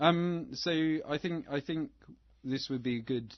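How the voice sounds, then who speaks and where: Here a man speaks at a moderate pace. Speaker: film podcast co-host. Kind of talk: casual chat. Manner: monotone.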